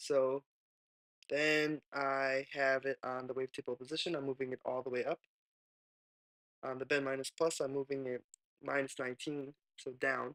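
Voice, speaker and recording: A quiet man's voice, medium in pitch, with a bright, sharp tone, monotone, flat intonation, and a dry, close sound with no echo. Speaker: music producer. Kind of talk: software tutorial narration. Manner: casual, hesitant.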